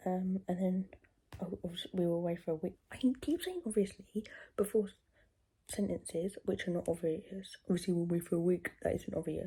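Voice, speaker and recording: A soft-spoken woman with a British accent talks at a fairly quick pace in a medium pitch, her somewhat breathy voice carrying a dark, mellow tone and fairly even intonation. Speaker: vlogger. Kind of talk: casual chat. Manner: soft-spoken, talking quietly.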